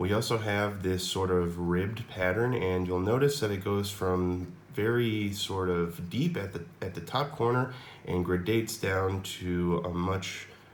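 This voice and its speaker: A man with an American accent, very deep, low pitch, ordinary pitch variation and audible room echo. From United States. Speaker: mod maker demonstrating his product. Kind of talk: product demo tutorial. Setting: home laundry room. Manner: casual, with many fillers.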